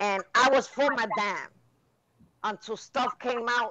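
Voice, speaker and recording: In an American accent, a woman with a high pitch and ordinary pitch variation speaks at a fairly slow pace. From New York City (East Harlem). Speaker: live stream host. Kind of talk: casual chat.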